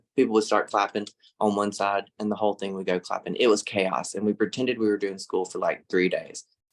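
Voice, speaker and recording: With an American accent, a man speaks at a fairly quick pace in a fairly low pitch. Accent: Southern US (Mississippi), can get thick. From US South, Laurel, Mississippi. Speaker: social media influencer and art teacher. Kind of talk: webinar presentation. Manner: animated, conversational.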